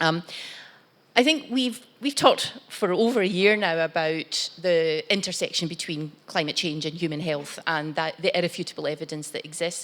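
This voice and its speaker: A woman with a Glaswegian accent speaks in a fairly low voice. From Scotland, Glasgow. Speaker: corporate executive on panel. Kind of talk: panel talk.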